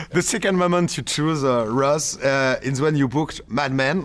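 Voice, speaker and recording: A man talks in a French accent at a fairly high pitch. His intonation is lively, and there is noticeable background noise. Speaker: show host. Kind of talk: interview. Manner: halting.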